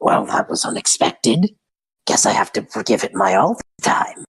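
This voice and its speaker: Using a put-on character voice, a man speaks in a raspy, medium-pitched tone at a moderate pace. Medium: actual play.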